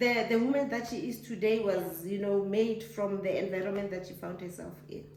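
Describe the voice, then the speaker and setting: Noticeable background noise and audible room echo surround a woman speaking. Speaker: mother being interviewed. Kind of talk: casual chat. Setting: filmed interview. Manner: loud.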